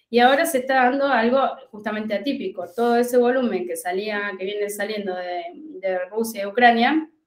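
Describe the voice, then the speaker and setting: In a Rioplatense accent, a woman speaks at a moderate pace with fairly high pitch and ordinary pitch variation. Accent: Argentine Spanish (rioplatense). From Argentina, La Pampa. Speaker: agronomist and commodities market advisor. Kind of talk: interview.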